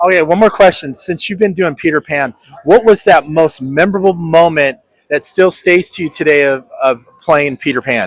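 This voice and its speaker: An ordinary speaking voice with ordinary pitch variation, at a moderate pace. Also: man, fairly high pitch for a man. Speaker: podcast host. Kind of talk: interview questions. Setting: convention floor.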